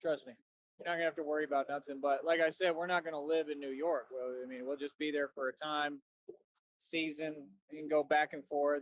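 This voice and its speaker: A man moves along at a fairly quick pace, his intonation monotone and flat throughout. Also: fairly high pitch for a man. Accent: American. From Texas, Austin. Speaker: livestreamer. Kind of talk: casual rant.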